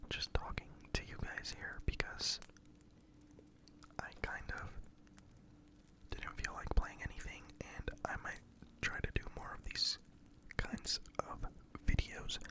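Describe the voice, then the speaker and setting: Someone whispers at a fairly slow pace with long, frequent pauses. Background noise is noticeable. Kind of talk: ASMR story time. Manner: whispered.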